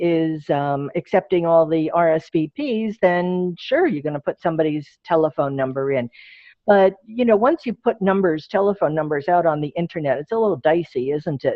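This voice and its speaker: Fairly quick and with hardly any pauses, a plain, everyday voice runs along with lively intonation. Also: woman. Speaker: presenter on social media for groups. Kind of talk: Q&A; webinar presentation.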